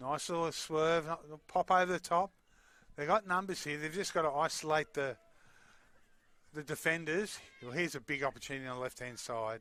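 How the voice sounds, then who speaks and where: A man with an Australian accent speaks at a fairly quick pace with a fairly high pitch, a bright, sharp tone, ordinary pitch variation and long, frequent pauses, in a very clean recording with a silent background. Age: 60s. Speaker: sports commentator. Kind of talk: live commentary. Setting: commentary box at stadium.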